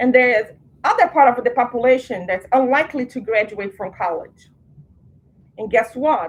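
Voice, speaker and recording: In a Portuguese accent, a woman speaks at a moderate pace with a high pitch and lively intonation. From Brazil. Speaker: program director. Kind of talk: orientation presentation. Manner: conversational.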